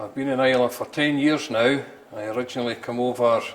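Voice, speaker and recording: Here a man with a Scottish accent speaks at a medium pitch. His delivery is a flat monotone at a moderate pace. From Scotland, near Stirling. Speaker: distillery manager. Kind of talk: interview. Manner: halting.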